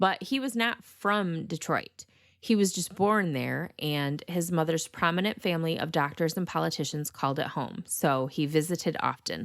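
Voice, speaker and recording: A woman with a Michigan accent talks with hardly any pauses in a very clean recording with a silent background. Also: fairly low pitch for a woman, ordinary pitch variation, moderate pace. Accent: northern US (Michigan). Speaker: true crime podcast host. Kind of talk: podcast narration. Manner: casual, conversational.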